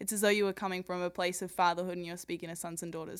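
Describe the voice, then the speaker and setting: Very fast and enthusiastic in tone, a woman talks with an Australian accent. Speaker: podcast co-host introducing the show. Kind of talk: interview, enthusiastic intro.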